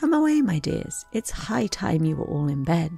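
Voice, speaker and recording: With music in the background, someone uses a put-on character voice that is shaky and middle in pitch, going at a moderate pace. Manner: trembling.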